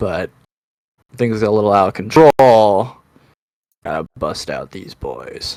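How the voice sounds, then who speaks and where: A put-on character voice from a man, raspy and at medium pitch, fairly slow with long, frequent pauses. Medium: actual play. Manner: swaggering, casual.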